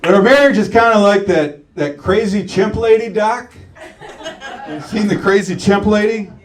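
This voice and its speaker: Over noticeable background noise, a high-pitched man with an American accent talks at a moderate pace. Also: ordinary pitch variation. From St. Petersburg, Florida. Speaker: stand-up comedian. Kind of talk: live stand-up comedy set.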